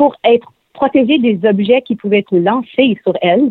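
Fairly high in pitch, a woman speaks in a Quebec accent at a moderate pace with ordinary pitch variation. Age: young. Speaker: singer-songwriter. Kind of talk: interview.

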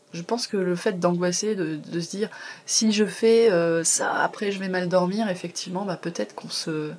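Over noticeable background noise, the intonation stays fairly even. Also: woman, medium pitch for a woman, moderate pace. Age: 40s. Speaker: massage therapist and confidence coach. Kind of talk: interview testimony. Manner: hesitant, many fillers. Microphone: poor sound quality.

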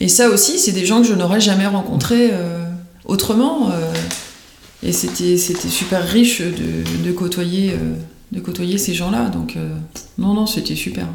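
A woman speaks at a fairly slow pace with long, frequent pauses, her voice carrying audible room echo over noticeable background noise. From Paris region (Yvelines), France. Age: 40s. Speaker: career changer, craftswoman. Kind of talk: interview. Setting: her home workshop.

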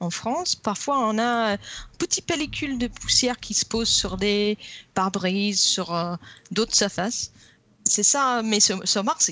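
With an English accent, the speaker uses lively intonation at a very slow pace. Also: woman. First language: English (speaking French). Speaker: geologist. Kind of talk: casual chat. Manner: halting.

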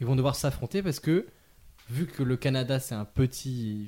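At a moderate pace, a man talks at a medium pitch with a somewhat breathy quality. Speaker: podcast host. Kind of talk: casual chat.

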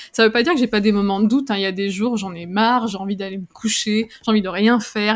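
A woman rattles along very fast, her fairly high voice held to fairly even intonation. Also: hardly any pauses. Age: 30s. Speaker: copywriter and entrepreneur. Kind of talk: interview.

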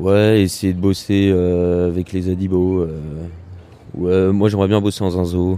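The man's voice sits very deep and low. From France, Loiret countryside near Orléans. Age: 20s. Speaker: university student. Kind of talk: interview. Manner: hesitant, with many fillers.

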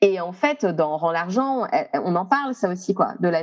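Over noticeable background noise, a woman speaks at a fairly slow pace with a medium pitch and lively intonation. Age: 30s. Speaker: astrologer. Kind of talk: interview conversation. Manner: hesitant, many fillers.

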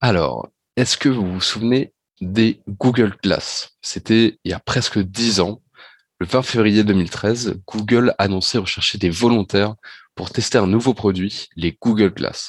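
A man's fairly low voice with fairly even intonation at a very slow pace, dry and close with no echo, in a very clean recording with a silent background. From Normandy, France (Rouen). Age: 20s. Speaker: business school student, augmented reality enthusiast. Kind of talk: podcast interview.

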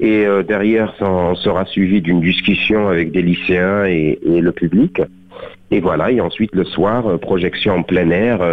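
This man has a very deep, low pitch and talks at a fairly slow pace, with very even loudness and fairly even intonation. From southern France, Beaucaire. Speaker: actor. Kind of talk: radio interview. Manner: halting, many fillers.

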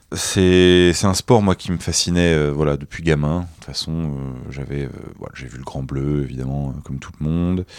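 A man speaks with a very deep, low pitch. His loudness swings widely. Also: ordinary pitch variation, moderate pace. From Nice, southern France. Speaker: freediver. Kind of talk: interview. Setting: festival recording.

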